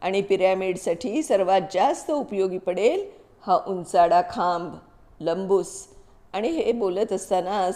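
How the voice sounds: The lively intonation belongs to a natural reading voice.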